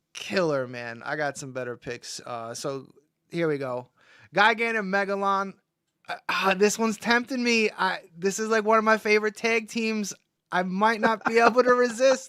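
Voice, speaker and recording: A man with a New York accent projects a raised voice at a moderate pace. His high pitch makes very wide swings, and his tone is bright and sharp. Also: big swings in loudness, very clean recording, silent background. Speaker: toy collector livestream host. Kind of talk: casual livestream chat. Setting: live stream. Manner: casual, halting with many fillers.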